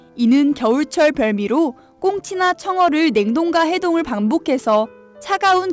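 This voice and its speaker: A woman's voice moves through very wide pitch swings at a fairly slow pace, with music in the background. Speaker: student radio host at campus-affiliated FM program. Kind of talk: radio program host narration.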